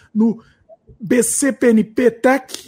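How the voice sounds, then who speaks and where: This man speaks at an extremely high pitch. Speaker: YouTube channel host. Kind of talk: live Q&A stream.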